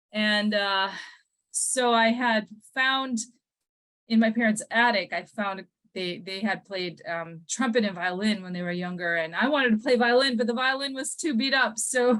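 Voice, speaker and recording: A woman with an Upper Midwest accent, fairly high in pitch, with ordinary pitch variation and a moderate pace. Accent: Upper Midwest American. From US Midwest, Minnesota and Milwaukee, Wisconsin. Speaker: musician and composer. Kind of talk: interview, personal life story. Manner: halting, many fillers and repeats.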